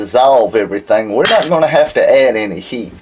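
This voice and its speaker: Noticeable background noise accompanies a man speaking with a Southern US accent. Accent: southern drawl. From Alabama, US South. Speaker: silver refining instructor. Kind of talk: tutorial. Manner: casual, conversational.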